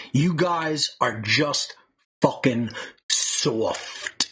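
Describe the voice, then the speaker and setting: Putting on a character voice, a man talks with lively intonation at a fairly high pitch. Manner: disparaging, emphatic.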